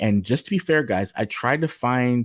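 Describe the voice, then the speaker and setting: A man speaks at a moderate pace with ordinary pitch variation in an ordinary speaking voice. The recording is very clean with a silent background and a dry, close sound with no echo. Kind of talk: livestream discussion presenting texts. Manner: casual, conversational.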